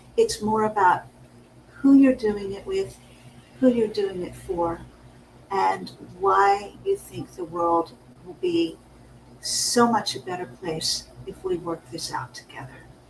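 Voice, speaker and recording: A woman's very slow speech with long, frequent pauses and big swings in loudness, over noticeable background noise. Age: 60s. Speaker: business coach. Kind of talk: casual chat.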